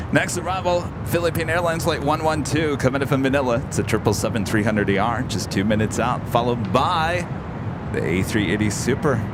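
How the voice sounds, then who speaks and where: Over loud background noise, a man puts on a nasal character voice and rattles along at a very fast pace. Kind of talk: clipped, professional radio phraseology.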